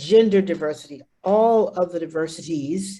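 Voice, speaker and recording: Somewhat breathy, a woman's voice carries a dark, mellow tone. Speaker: arts presenter. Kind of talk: presentation. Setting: video call.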